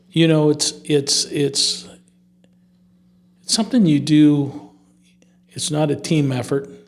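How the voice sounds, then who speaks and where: The speech comes at a very slow pace with fairly even intonation and long, frequent pauses. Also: man, fairly high pitch for a man. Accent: US Midwestern. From Northwest Ohio, US Midwest. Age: 70s. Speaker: business owner. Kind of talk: interview.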